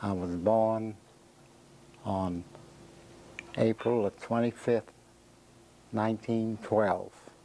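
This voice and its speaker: Speaking with an American accent, a man with a fairly low pitch moves at a very slow pace, with long, frequent pauses and monotone, flat intonation. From US South, Jacksonville, Florida. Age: 70s. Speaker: interviewee telling life story. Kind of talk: oral history interview. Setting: own living room.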